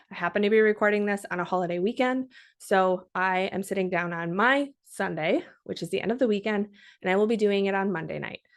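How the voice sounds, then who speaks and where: A woman with an American accent at a medium pitch, upbeat in tone, fairly quick in pace, with ordinary pitch variation and a quiet background. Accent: occasional Minnesota. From Minnesota. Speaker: podcast host. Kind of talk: podcast tutorial. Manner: upbeat, conversational.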